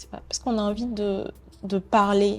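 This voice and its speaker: Music plays in the background. A woman speaks at a fairly slow pace with a medium pitch. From Benin, Porto-Novo. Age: 20s. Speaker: painter and art student. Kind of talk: interview conversation. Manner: halting, many hesitations.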